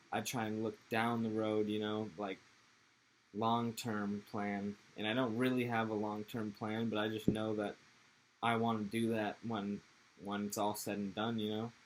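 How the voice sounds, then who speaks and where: With an American accent, a man speaks at a fairly low pitch in a monotone, flat intonation. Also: moderate pace. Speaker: podcast guest, skater. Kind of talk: casual chat.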